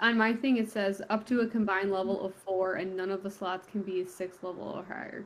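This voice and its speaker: With a normal speaking voice at medium pitch, a woman talks with fairly even intonation and hardly any pauses. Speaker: player in the game. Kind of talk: casual tabletop roleplaying game chat. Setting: online video call.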